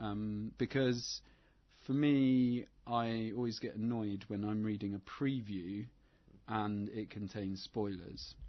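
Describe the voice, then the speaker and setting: Delivered at a very slow pace, the words carry fairly even intonation. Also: man, fairly low pitch for a man. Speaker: film podcast co-host. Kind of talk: casual chat. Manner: monotone.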